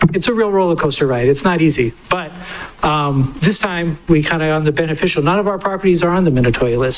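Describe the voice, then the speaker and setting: Talking at a very fast pace over noticeable background noise, a man uses a high pitch with ordinary pitch variation. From Hawaii, Maui. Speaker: vacation rental business owner testifying. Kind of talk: public testimony. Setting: public hearing.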